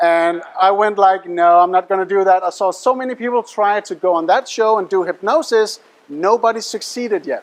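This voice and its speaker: Speaking with a Danish accent, a man talks at a moderate pace with hardly any pauses, using a high pitch and ordinary pitch variation. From Denmark. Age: young. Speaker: mentalist and hypnotist. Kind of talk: stage show patter. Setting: stage with audience. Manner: animated.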